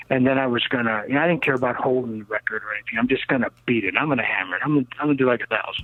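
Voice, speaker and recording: American-accented male speech over noticeable background noise. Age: 60s. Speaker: rocket and land speed car builder. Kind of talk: interview. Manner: animated.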